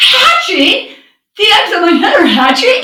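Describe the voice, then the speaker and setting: A woman's squeaky, put-on character voice, extremely high in pitch with very wide pitch swings, at a moderate pace with slight echo. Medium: read story. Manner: anxious.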